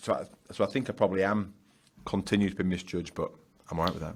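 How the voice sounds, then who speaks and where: With a Yorkshire accent, a man speaks at a fairly low pitch. His intonation is monotone and flat. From Yorkshire, northern England. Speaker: business founder and author. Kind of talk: podcast interview. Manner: loud.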